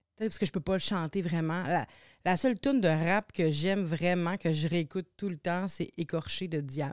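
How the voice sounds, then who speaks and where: A woman's fairly low voice at a moderate pace, with ordinary pitch variation, on a very clean recording with a silent background. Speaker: singer and TV personality. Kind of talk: casual chat. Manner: halting.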